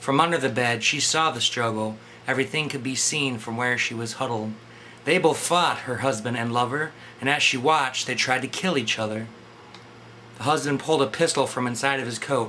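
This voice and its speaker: A man talks at a medium pitch in a normal speaking voice. His pace is fairly quick, and his pitch varies in an ordinary way. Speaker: poet reading his own poem. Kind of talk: poetry reading.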